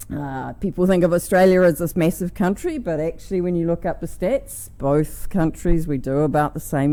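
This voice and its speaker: This woman's voice has a dark, mellow tone and a very deep, low pitch. She speaks at a moderate pace with a New Zealand accent. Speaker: conference speaker, energy researcher. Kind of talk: conference talk. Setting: stage with audience.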